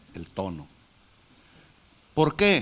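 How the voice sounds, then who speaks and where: Here a man speaks at a very slow pace. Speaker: preacher. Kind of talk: sermon. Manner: loud.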